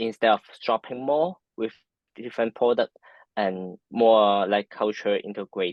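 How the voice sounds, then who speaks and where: A man with a Hong Kong accent at medium pitch, fairly slow, with ordinary pitch variation. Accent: Hong Kong Cantonese-accented English. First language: Cantonese. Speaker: architecture and design professional. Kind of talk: interview. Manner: halting, many fillers.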